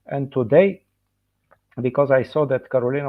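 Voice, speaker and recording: A man speaks with a Bulgarian accent at a moderate pace. His pitch is medium, with ordinary variation. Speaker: dentist and professor. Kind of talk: lecture. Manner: halting, many fillers.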